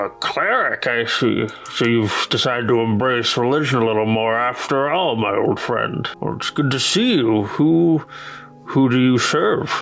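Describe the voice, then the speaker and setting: Using a put-on character voice at a medium pitch, a man talks over light background noise. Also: moderate pace, ordinary pitch variation. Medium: actual play. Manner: warm, hearty.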